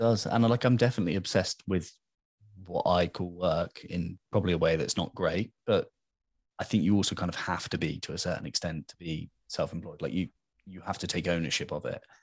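A man with a British accent and a very deep, low pitch, at a fairly quick pace, with ordinary pitch variation and big swings in loudness, in a dry, close sound with no echo against a quiet background. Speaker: podcast host. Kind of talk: casual interview chat.

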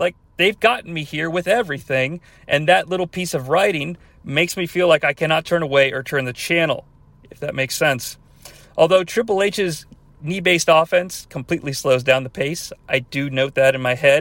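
A man with an ordinary speaking voice and an American accent talks at a moderate pace, his fairly high pitch showing ordinary pitch variation. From US Midwest, about an hour from Cincinnati. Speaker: podcast host. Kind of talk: solo podcast commentary. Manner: casual, with fillers.

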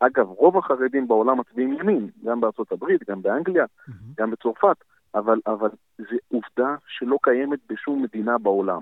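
In a normal speaking voice, a man of medium pitch talks at a moderate pace with lively intonation. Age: 30s. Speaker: city council member and politician. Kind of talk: interview. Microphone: poor audio at times, earpiece.

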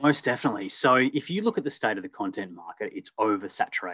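With an Australian accent, a man talks in a dry, close sound with no echo. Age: 30s. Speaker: storytelling business owner. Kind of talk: casual interview.

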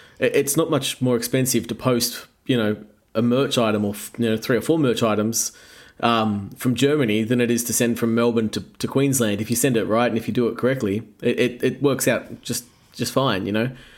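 A man speaks with an Australian accent. His pace is fairly quick and his intonation fairly even. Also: medium pitch for a man. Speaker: rock band musician. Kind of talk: casual interview chat. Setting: video call.

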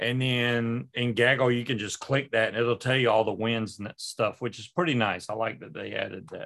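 An unremarkable speaking voice from a man at medium pitch and moderate pace, with hardly any pauses, big swings in loudness and ordinary pitch variation. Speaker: paramotor pilot. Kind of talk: casual chat.

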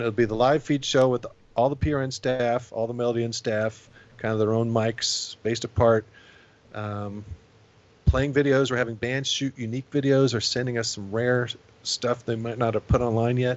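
This man talks at a medium pitch and a moderate pace in an American accent. His intonation is monotone and flat. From Indiana. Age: 40s. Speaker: punk club night promoter and bassist. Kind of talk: casual chat.

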